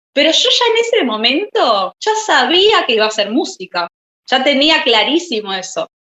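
A woman speaks in a raised, projected voice with a bright, sharp tone and very wide pitch swings. Her pace is fairly slow, and the sound is dry and close with no echo. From Buenos Aires, Argentina. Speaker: singer-songwriter and pianist. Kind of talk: interview.

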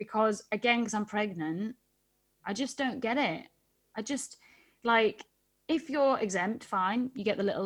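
In a Geordie accent, a woman talks at a moderate pace and a fairly high pitch with ordinary pitch variation and long, frequent pauses. The recording is very clean, with a silent background. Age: 30s. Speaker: West End actor. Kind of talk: casual chat. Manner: animated, chatty.

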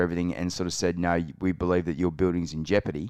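A man speaks with an Australian accent and a very deep, low pitch. The background is quiet. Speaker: podcast co-host. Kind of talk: casual chat.

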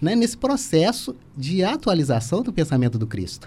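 At a moderate pace, a man speaks in a dark, mellow, somewhat breathy tone with very wide pitch swings. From Volta Redonda, Rio de Janeiro state, Brazil (father from Minas Gerais). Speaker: spiritist center volunteer. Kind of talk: radio interview.

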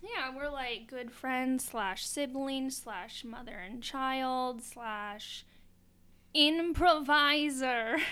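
Amid audible room echo, a woman speaks very slowly at a high pitch with ordinary pitch variation. Her voice is raised and projected, with big swings in loudness. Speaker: podcast host. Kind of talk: casual chat. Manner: frequent laughter.

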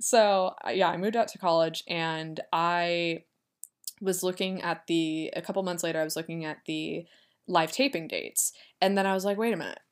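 Fairly even in intonation, a woman talks at a moderate pace in an ordinary speaking voice of fairly low pitch. The recording is very clean, with a silent background. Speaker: podcast host. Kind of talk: casual solo monologue.

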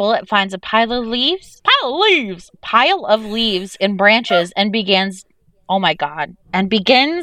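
The voice is a natural reading voice. Pitch moves up and down in an ordinary way.

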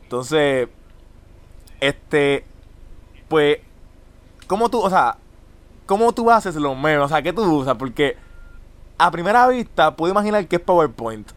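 Speaking in a Puerto Rican accent, a man with a fairly high pitch talks at a fairly slow pace in an animated tone, his pitch swinging very widely between long, frequent pauses. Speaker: podcast host. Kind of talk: casual chat.

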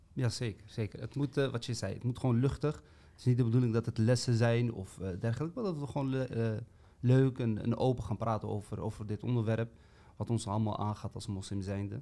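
At a fairly quick pace, a man talks in a dark, mellow tone with ordinary pitch variation. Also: medium pitch for a man. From Amsterdam, Netherlands. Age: 30s. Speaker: podcast co-host. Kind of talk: casual chat.

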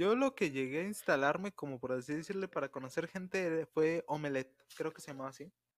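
A man with a Mexican accent talks at a fairly quick pace and a fairly high pitch, with hardly any pauses, big swings in loudness and a dry, close sound with no echo. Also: ordinary pitch variation. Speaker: podcast co-host. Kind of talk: casual chat.

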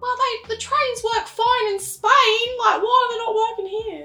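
In a put-on character voice with a London accent, the speaker talks at an extremely high pitch and a moderate pace.

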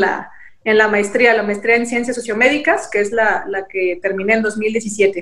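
Using a normal speaking voice, a woman talks at a fairly slow pace in a fairly high pitch with ordinary pitch variation. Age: 20s. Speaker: politician, party president. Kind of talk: interview.

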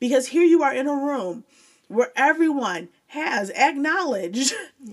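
High-pitched woman with lively intonation. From Joliet, Illinois. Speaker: former teacher, academic. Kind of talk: casual interview chat.

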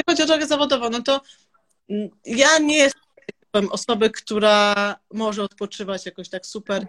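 A woman with a plain, everyday voice speaks at a moderate pace and fairly high pitch with lively intonation, the sound dry and close with no echo. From Serbia, raised in Olsztyn, Poland from age 10-12. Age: 30s. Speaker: entrepreneur. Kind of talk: interview. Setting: live stream.

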